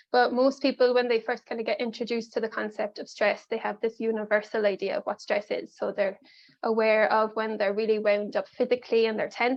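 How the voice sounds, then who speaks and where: With an Irish accent, a woman talks at a fairly quick pace in a fairly high voice with monotone, flat intonation. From Ireland. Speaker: life coach and mindfulness facilitator. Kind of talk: pre-recorded workshop presentation. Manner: casual, many filler ums.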